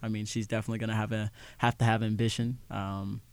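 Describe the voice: Talking fast, a man delivers his lines at a medium pitch with a clear, smooth tone.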